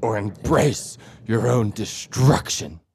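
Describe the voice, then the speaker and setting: The voice is a put-on character voice, low in pitch. It moves at a fairly slow pace. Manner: dramatic, menacing.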